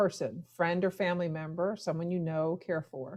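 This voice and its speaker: A woman speaks at a fairly low pitch. The background is quiet. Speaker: educator for landlords. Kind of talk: training presentation. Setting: live webinar on Zoom and Facebook. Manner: fast-paced.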